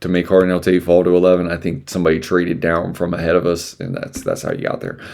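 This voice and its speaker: A man mumbles his words. His pitch is very deep and low. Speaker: podcast host. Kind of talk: solo podcast, NFL mock draft talk. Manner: mumbling, rambling; casual.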